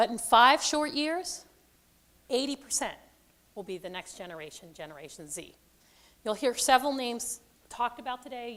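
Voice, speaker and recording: Her pitch high, a woman talks at a moderate pace with very wide pitch swings. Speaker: conference presenter. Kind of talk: presentation to audience. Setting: stage with audience, microphone. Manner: loud, projecting.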